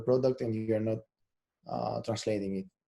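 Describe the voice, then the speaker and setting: This man has a Greek accent and a dark, mellow tone. His intonation stays fairly even. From Greece. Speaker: SEO specialist. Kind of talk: webinar talk. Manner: halting, many repeated words and fillers.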